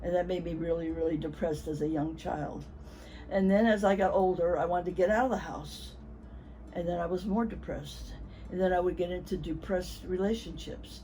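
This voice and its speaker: Audible room echo surrounds a woman who talks at a medium tempo. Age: 80s+. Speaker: patient giving testimonial. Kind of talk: testimony.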